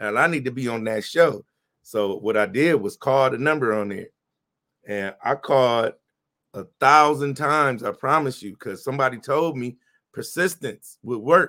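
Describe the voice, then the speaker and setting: A man's medium-pitched voice, bright and sharp in tone, with ordinary pitch variation on a very clean recording with a silent background. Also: moderate pace. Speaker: filmmaker and actor.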